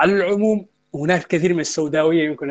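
Speaking very fast, a man keeps an ordinary amount of pitch variation. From Mauritania. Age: young. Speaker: football coach and analyst. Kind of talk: casual interview chat. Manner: formal.

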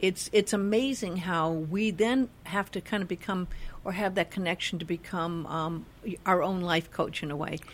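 A woman's normal speaking voice at medium pitch and moderate pace, in a very clean recording with a silent background. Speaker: radio host. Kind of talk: interview.

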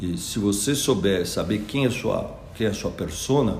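Amid audible room echo, a man with a fairly low pitch speaks at a fairly slow pace. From interior of São Paulo state, Piracicaba. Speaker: school founder, former lawyer and investor. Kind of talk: interview. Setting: at the school.

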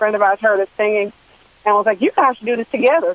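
With an American accent, a woman speaks in an unremarkable speaking voice at medium pitch, with ordinary pitch variation. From Washington D.C. area. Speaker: singer. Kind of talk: radio interview.

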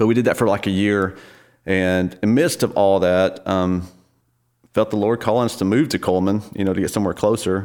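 With a Southern US accent, a man talks at a fairly quick pace in a fairly low voice, his intonation fairly even and his loudness very even, on a very clean recording with a silent background. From northern Alabama. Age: 40s. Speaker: church worship leader. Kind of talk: casual interview.

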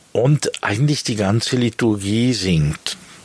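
Against noticeable background noise, a man of medium pitch talks very slowly, his pitch varying in an ordinary way. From Switzerland, Bern. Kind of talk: interview. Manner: halting, with many fillers and repetitions.

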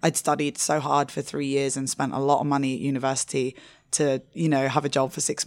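A woman talks at a fairly quick pace with a very deep, low pitch. Her intonation is monotone and flat. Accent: London. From England. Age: 30s. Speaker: drinks magazine editor and part-time bartender. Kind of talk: interview. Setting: in-person interview at a hotel.

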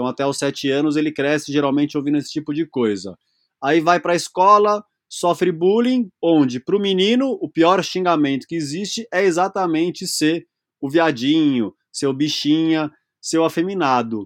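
With a dry, close sound free of echo and a quiet background, a man speaks at a moderate pace in a fairly high pitch, his intonation lively. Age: 40s. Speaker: speaker and workshop facilitator on masculinity. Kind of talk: interview conversation.

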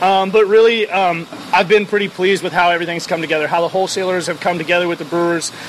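A man speaks at a very fast pace with a high pitch and fairly even intonation, with noticeable background noise behind him. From Oregon, Portland. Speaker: brewery owner. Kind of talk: casual interview. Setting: at a brewery.

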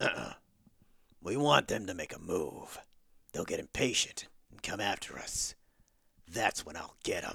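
Using a put-on character voice, raspy and swinging widely in loudness, the speaker moves at a moderate pace with long, frequent pauses. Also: man. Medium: audio drama. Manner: gruff, blunt.

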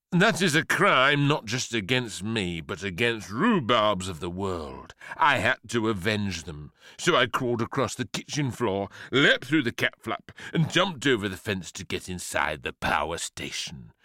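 A man does a put-on character voice with a fairly low pitch and big pitch swings. His tone is bright and sharp, the pace fairly slow, and the recording very clean with a silent background.

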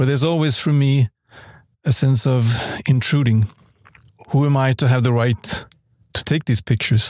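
Over a silent background in a very clean recording, a man speaks at medium pitch and a moderate pace, somewhat breathy, with fairly even intonation, very even loudness, long, frequent pauses, and a dry, close sound with no echo. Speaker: photojournalist. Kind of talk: prepared personal reflection.

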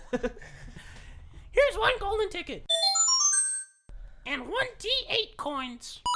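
An upbeat, put-on character voice moves at a very slow pace. Long pauses come often. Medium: actual play. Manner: chirpy, upbeat.

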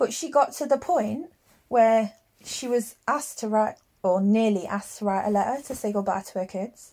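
With an English accent, a woman speaks at a moderate pace in a dark, mellow tone, her fairly high pitch showing ordinary variation. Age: 30s. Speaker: podcast co-host and hairdresser. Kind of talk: casual chat. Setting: at home in the bedroom.

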